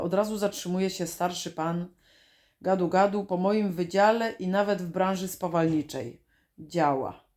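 With an ordinary speaking voice, a woman talks at medium pitch with ordinary pitch variation on a very clean recording with a silent background. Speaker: video diarist. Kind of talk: reading aloud.

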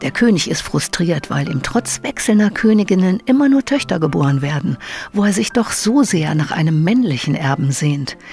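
Over music in the background, a woman speaks at a moderate pace with very wide pitch swings. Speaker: narrator. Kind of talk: comic book trailer narration.

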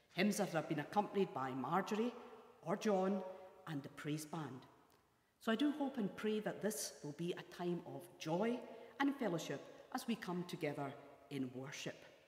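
In a room with audible echo, a woman with a fairly low voice talks at a moderate pace and leaves long, frequent pauses. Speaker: church minister. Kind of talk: welcome address for worship service. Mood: warm, welcoming. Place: hall. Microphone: lapel.

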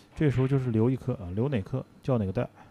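A man is speaking. Music plays in the background. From Heilongjiang, Greater Khingan (Jiagedaqi). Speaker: billiards commentator. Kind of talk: live sports commentary.

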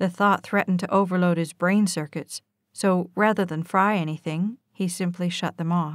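In a normal speaking voice, a woman talks at a medium pitch with fairly even intonation, the sound dry and close with no echo. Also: very clean recording, silent background. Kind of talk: audiobook reading of a romance novel.

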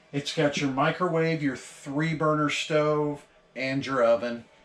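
Faint music plays in the background amid audible room echo. The speech comes at a fairly slow pace with fairly even intonation. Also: man. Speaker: RV dealer salesperson. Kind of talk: product tour walkthrough.

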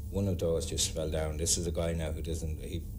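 Speech moves at a moderate pace amid noticeable background noise. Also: man. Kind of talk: interview answer. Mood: earnest, telling ghost story. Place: bar.

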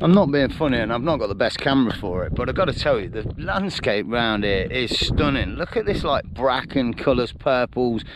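Over noticeable background noise, a man talks at a fairly quick pace with hardly any pauses and lively intonation, the sound dry with no echo. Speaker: hiker vlogger. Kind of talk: casual vlog chat. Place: open country. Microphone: phone near.

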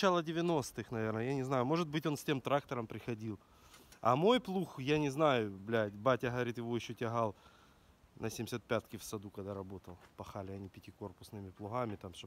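With big swings in loudness and lively intonation, a man talks at a moderate pace in a dry sound with no echo. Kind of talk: casual conversation. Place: farm machine. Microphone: phone near.

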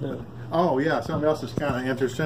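Noticeable background noise behind a male speaker with ordinary pitch variation. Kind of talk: casual show-and-tell explanation. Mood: proud, easygoing. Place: garage. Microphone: phone near.

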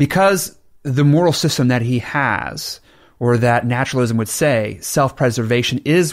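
A man with an unremarkable speaking voice and medium pitch speaks at a fairly slow pace, with ordinary pitch variation. The recording is very clean, with a silent background. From Oklahoma, US. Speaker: Baptist pastor. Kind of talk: casual debate conversation. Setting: studio.

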